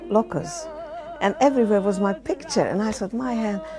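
A woman speaks with clear music in the background. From Hungary. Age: old. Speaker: Holocaust survivor, former singer. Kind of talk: interview answer. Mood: emotional, reflective storytelling. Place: home room.

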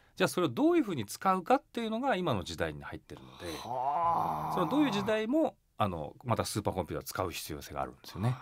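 A man talks at a very fast pace with big swings in loudness. The recording is very clean, with a silent background. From Japan, Yokohama, Kanagawa. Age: 40s. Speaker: company chairman. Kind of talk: radio interview.

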